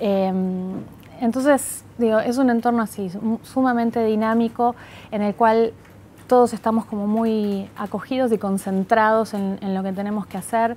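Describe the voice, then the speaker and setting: Light background noise sits behind a woman with a dark, mellow tone who speaks at a fairly slow pace in a monotone, flat intonation. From Argentina, Buenos Aires (born in Montevideo, moved at seven); Buenos Aires. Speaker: tech company manager, economist; interviewee. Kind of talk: interview. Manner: hesitant, many fillers. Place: office. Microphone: lapel.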